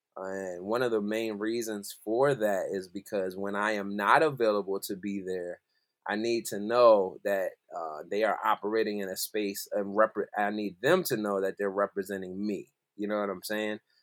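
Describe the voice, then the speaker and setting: A man with an American accent speaks at a moderate pace in a fairly low pitch. He has a plain, everyday voice and fairly even intonation. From South Jersey, Philadelphia area. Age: 30s. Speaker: musical director. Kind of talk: casual interview chat. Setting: remote call from home.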